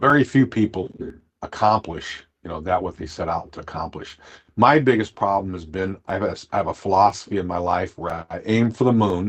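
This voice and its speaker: The speaker has an American accent and a fairly quick pace. The background is quiet. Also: man. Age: 60s. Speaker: gut health podcaster, former Marine. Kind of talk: casual interview chat. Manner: halting, repetitive.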